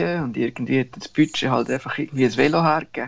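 Pitched in the medium range, a man speaks with lively intonation. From Central Switzerland. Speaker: travel business owner and cyclist. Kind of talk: interview storytelling. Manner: halting, with many fillers.

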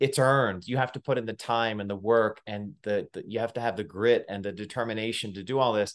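At a fairly quick pace, a man talks with medium pitch and fairly even intonation against a quiet background. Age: 40s. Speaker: podcast host and ultra runner. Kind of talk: casual interview chat. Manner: halting, many fillers.

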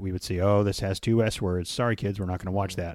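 Fairly even intonation and a fairly low pitch mark this man's delivery, an ordinary speaking voice. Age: 50s. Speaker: podcast co-host, father. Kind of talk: casual chat.

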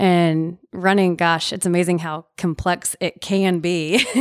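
At a fairly slow pace, a woman with a Southern US accent speaks at medium pitch in a very clean, dry, close recording with no echo and a silent background. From Nashville, Tennessee. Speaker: amateur runner. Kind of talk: casual interview. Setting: studio, in person. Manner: laughs often.

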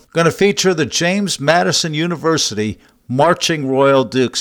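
A plain, everyday voice carries lively intonation. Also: man. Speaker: radio host. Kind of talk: radio DJ patter introducing bluegrass songs. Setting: radio studio. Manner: upbeat, polished radio announcer; jokey, self-promoting.

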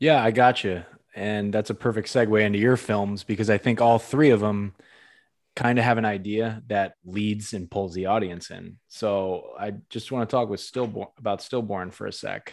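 A man speaks in an ordinary speaking voice at a fairly low pitch and moderate pace, with fairly even intonation. The recording is very clean, with a silent background. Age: 30s. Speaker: podcast host. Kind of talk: casual interview.

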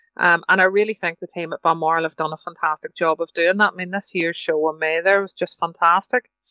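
Speaking at a very fast pace with hardly any pauses, a woman with a Northern Irish accent keeps a monotone, flat intonation at a fairly low pitch. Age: 50s. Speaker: livestock show council member and estate agent. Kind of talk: interview.

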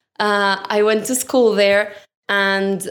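A woman speaks with a Colombian accent. Her pitch is medium. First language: Spanish. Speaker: architecture intern, podcast co-host. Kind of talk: casual podcast introduction. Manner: enthusiastic.

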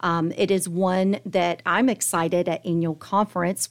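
A woman with an American accent speaks in an unremarkable speaking voice at a medium pitch with fairly even intonation, on a very clean recording with a silent background. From Tallahassee, Florida. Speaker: marketing agency executive, business chamber chair. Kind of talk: interview.

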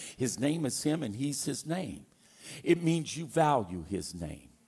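Lively intonation and an animated tone mark this man's American accent. He speaks at a fairly slow pace. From Louisiana, US South. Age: 60s. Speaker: pastor. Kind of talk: sermon to a live congregation. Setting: church with congregation. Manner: animated, fervent, preaching with humor; conversational, personal.

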